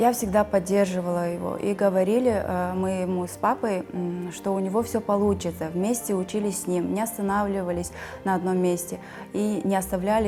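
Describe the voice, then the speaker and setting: There is noticeable background noise behind this recording. A woman speaks at a moderate pace. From Kazakhstan. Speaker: immigrant mother. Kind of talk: interview. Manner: hesitant, with fillers.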